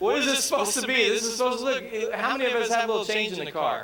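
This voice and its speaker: Over noticeable background noise, a man with an American accent uses a raised, projected voice at an extremely high pitch. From Texas, US. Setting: stage, comedy set.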